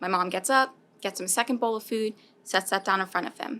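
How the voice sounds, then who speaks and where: On a very clean recording with a silent background, a woman in a normal speaking voice talks fairly quickly at a fairly high pitch with lively intonation. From US South. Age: 20s. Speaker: food recovery program coordinator. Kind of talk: interview.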